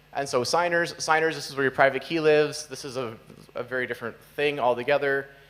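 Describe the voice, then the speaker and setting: A man talks at a fairly quick pace and a medium pitch. His intonation stays fairly even. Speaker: software developer giving conference talk; conference speaker. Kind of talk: conference talk. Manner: fast. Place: hall.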